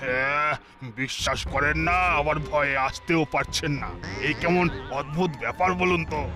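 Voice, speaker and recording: Clear music plays behind a man doing a cartoonish character voice. His pitch is fairly high, his intonation fairly even and his pace moderate. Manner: gossipy, wary.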